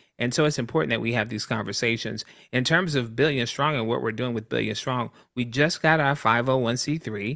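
A man with an American accent speaks at a medium pitch and moderate pace, bright and sharp with vocal fry. His pitch varies in an ordinary way against a quiet background. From US South, Columbia, South Carolina. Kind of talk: casual interview.

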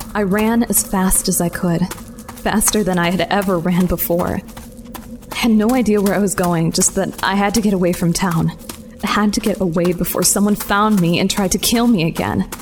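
Over noticeable background noise, a woman speaks at medium pitch and a moderate pace, her loudness very even and her intonation fairly even. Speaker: fiction narrator and lead character. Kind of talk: scripted first-person audio drama narration. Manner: suspenseful, hushed, breathless.

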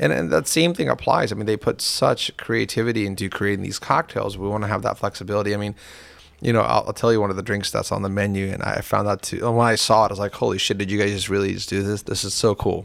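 With ordinary pitch variation, a man talks at a very fast pace in a fairly low pitch. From India. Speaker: restaurateur and business owner. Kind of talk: casual interview chat. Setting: studio.

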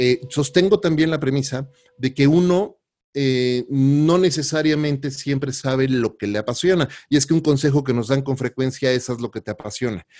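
In a normal speaking voice, a man with a fairly high pitch and ordinary pitch variation speaks at a moderate pace. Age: 40s. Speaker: podcast host. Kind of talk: interview.

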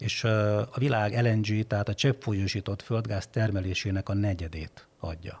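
In a very clean recording with a silent background, a man with a fairly low, somewhat breathy voice talks at a fairly slow pace with fairly even intonation and hardly any pauses. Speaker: foreign affairs journalist. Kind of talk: casual chat.

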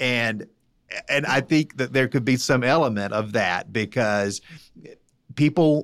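A man speaks in an ordinary speaking voice at medium pitch, with lively intonation and a moderate pace, on a very clean recording with a silent background. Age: 40s. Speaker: Republican political strategist. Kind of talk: political roundtable discussion.

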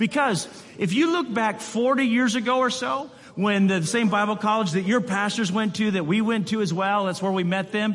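Man at a high pitch and moderate pace, ordinary pitch variation, audible room echo and noticeable background noise. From West Michigan, US. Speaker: missionary. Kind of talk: sermon. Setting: church.

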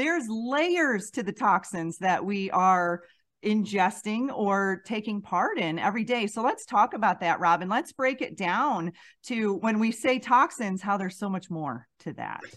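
A woman speaks at a fairly slow pace with lively intonation and a medium pitch, in a plain, everyday voice against a quiet background. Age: 40s. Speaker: podcast host, intuitive empath. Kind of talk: casual interview chat.

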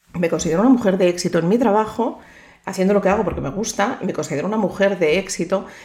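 Typical pitch movement and a mid-range level from a woman with an ordinary speaking voice. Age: 50s. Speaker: psychologist and podcast host. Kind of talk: motivational monologue.

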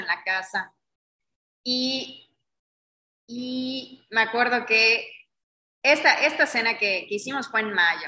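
Bright and sharp in tone, a woman's voice moves with ordinary pitch variation. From Mexico, Yucatán (Mérida). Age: 30s. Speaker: magazine publisher and event organizer. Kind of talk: interview conversation.

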